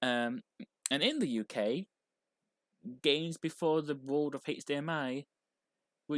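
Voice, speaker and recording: The speaker has a British accent, heard on a very clean recording with a silent background. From UK. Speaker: video game streamer. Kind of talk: live game stream chat. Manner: hesitant, with self-corrections.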